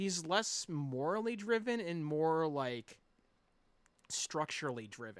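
His pitch rises and falls over a very wide range. This man talks very slowly. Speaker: podcaster and tabletop game master. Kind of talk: casual interview chat.

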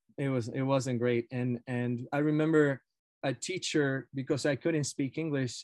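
A man's medium-pitched voice in a Spanish accent, at a fairly slow pace and with fairly even intonation, in a dry, close sound with no echo. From Argentina. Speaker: professor of education. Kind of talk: casual interview.

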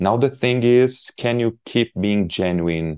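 Against a quiet background, a man speaks in a Portuguese accent. His pace is fairly slow and his pitch variation ordinary. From southern Portugal. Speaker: landscape photographer and psychiatrist. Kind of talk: interview conversation.

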